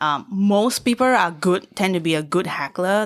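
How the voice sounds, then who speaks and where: Lively intonation carries a Singaporean accent in a very clean recording with a silent background. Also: woman. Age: 30s. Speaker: stand-up comedian. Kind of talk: casual chat.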